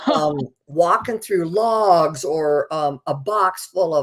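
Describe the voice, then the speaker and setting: The voice carries an American accent. Its intonation is lively. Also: woman. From Nebraska, USA. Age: 60s. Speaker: rancher and horse competitor. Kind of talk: interview answer.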